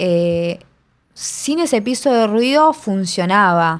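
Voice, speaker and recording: A woman talks with lively intonation at a fairly high pitch. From Argentina, Buenos Aires. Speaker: sound recordist. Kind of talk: casual interview. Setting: remote recording at home mic.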